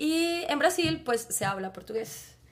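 A woman with a Bogotá accent speaks at a very slow pace. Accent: Bogotá Colombian Spanish. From Colombia, Bogotá. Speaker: biologist and Spanish teacher. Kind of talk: casual chat.

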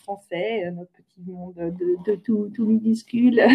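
Dark and mellow in tone, a woman's voice shows ordinary pitch variation. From France, near Orléans. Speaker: climate change expert. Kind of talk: interview. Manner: halting, many repetitions.

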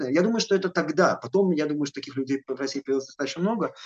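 A man talks at a very fast pace. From Belarus, Gomel. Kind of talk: interview. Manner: halting.

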